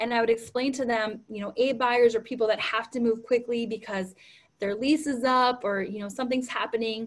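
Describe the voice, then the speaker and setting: Speaking with an American accent, a woman keeps a fairly high pitch and fairly even intonation. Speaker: real estate team leader and trainer. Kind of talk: training talk. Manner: fast.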